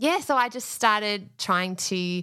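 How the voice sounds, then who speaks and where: In an Australian accent, a woman speaks with a bright, sharp tone on a very clean recording with a silent background. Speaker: podcast business manager, former teacher. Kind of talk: casual interview chat.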